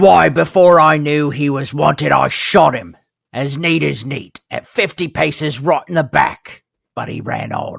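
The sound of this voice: A raspy, put-on character voice at a low-to-middle pitch goes along at a moderate pace.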